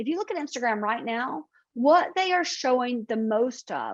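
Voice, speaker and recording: A woman with a Southern US accent talks at a moderate pace in a high voice with lively intonation against a quiet background. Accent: Southern American. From US South. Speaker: marketing consultant. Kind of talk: webinar presentation.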